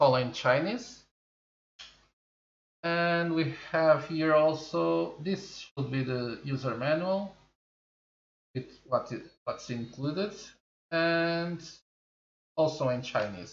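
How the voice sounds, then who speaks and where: In a Portuguese accent, the speaker talks very slowly with long, frequent pauses and ordinary pitch variation. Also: man, fairly high pitch for a man. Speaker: tech reviewer. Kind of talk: product review. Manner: halting.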